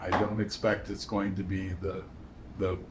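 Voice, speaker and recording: The voice is somewhat breathy, with monotone, flat intonation. Audible room echo surrounds it. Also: man. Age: 70s. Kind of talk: interview. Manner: halting, with many fillers.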